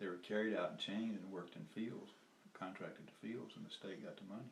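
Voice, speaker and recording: A man with a Southern US accent talks in a fairly low pitch. Audible room echo is present. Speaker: former lawyer and activist. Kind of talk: casual storytelling interview. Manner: halting, with many fillers and restarts.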